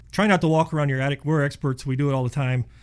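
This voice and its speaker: Somewhat breathy and fairly high-pitched, a man speaks at a very fast pace on a very clean recording with a silent background. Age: 50s. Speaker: insulation contractor. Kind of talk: casual radio interview.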